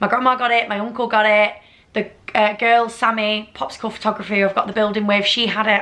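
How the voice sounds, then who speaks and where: A woman with a Lancashire accent, fairly high-pitched and very fast. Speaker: vlogger. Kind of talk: casual chat. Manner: animated.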